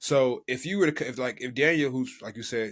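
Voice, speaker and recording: In a very clean recording with a silent background, a man with an American accent speaks in an ordinary speaking voice at a medium pitch, with lively intonation and a fairly quick pace. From United States. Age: 30s. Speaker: podcast co-host. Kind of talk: casual chat.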